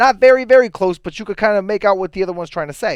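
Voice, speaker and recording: Talking at a very fast pace, a high-pitched man uses lively intonation in a dry, close sound with no echo. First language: Italian. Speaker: public access show co-host. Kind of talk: casual chat.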